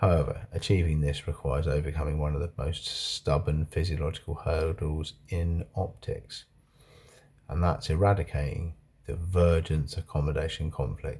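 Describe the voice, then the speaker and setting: A man speaks at a moderate pace in a very deep, low voice with a dark, mellow tone and a somewhat breathy quality. His intonation stays fairly even, and the recording is very clean with a silent background. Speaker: video blogger. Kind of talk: reading aloud. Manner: slurred.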